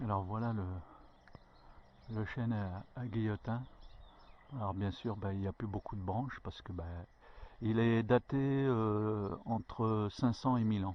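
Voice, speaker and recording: A man with a fairly low voice speaks at a very slow pace, leaving long, frequent pauses. His intonation stays fairly even. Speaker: hiking vlogger. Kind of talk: storytelling; casual vlog narration. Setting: outdoors. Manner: halting, stutters; many filler hesitations.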